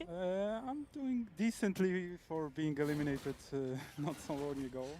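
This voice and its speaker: A man speaks in a high pitch with a Polish accent. His intonation is lively. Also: moderate pace. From Poland. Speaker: professional esports player. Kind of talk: casual chat.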